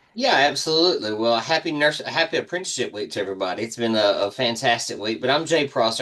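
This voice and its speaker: With a Southern US accent, a man talks at a very fast pace and medium pitch, his pitch varying in an ordinary way against noticeable background noise. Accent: Southern American. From US South, Alabama. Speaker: nursing workforce director, nurse. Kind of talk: webinar discussion. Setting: video call webinar.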